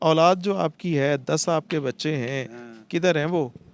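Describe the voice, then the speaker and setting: A man with an ordinary speaking voice, fairly high in pitch, with ordinary pitch variation. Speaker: street interviewer and host. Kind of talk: emotional street report to camera.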